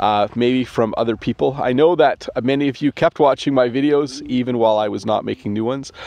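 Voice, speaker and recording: With a Canadian accent, a man speaks at a fairly quick pace and a medium pitch, with ordinary pitch variation and a dry sound with no echo. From Canada. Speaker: English teacher. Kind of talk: casual talk to camera. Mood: warm, friendly. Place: open country. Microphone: phone near.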